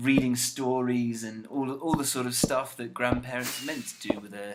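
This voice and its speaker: Amid noticeable background noise, a man with a British accent talks at a moderate pace and a medium pitch. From UK. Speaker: gaming YouTuber. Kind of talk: casual gameplay commentary. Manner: relaxed, chatty.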